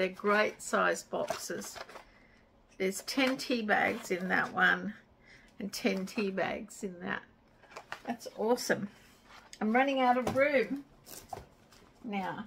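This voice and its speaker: Light background noise runs under a woman speaking at a very slow pace. She leaves long, frequent pauses, and her pitch varies in an ordinary way. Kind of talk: casual vlog chat. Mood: pleased, enthusiastic. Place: home room. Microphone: camera far.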